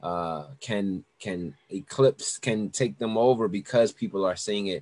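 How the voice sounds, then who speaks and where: The speech moves at a fairly slow pace with ordinary pitch variation, captured with a dry, close sound and no echo against a quiet background. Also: man, fairly low pitch for a man. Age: 30s. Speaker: music director. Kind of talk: casual interview chat. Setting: video call. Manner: halting, many repeated words.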